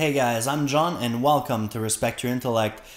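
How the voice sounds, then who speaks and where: Pitch shifts by ordinary amounts. The speaking pace is moderate. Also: man. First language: French. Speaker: science YouTuber. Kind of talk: casual chat to viewers.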